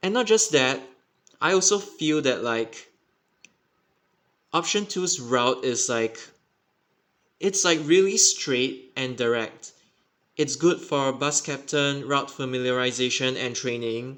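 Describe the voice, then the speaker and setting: Pausing long and often, a man speaks at a very slow pace. His voice is fairly high, with lively intonation. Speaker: bus network commentator. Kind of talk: casual explainer talk over map.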